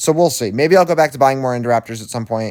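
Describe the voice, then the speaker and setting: The voice has an animated tone and ordinary pitch variation on a very clean recording with a silent background. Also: man. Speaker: gaming YouTuber. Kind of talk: casual gameplay commentary. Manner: fast.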